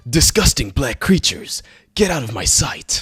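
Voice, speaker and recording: This is a man's voice. He is doing a put-on character voice. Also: fairly high pitch for a man, moderate pace. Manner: gruff, menacing.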